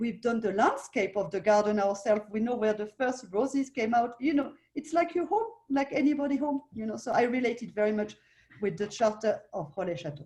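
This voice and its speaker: A woman with a French accent talks at a fairly quick pace, her fairly high voice carrying lively intonation. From France. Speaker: hotel owner. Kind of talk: interview. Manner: halting.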